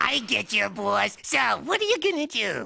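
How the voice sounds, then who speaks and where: The delivery moves at a moderate pace. It comes in a cartoonish character voice. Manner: eager, dopey.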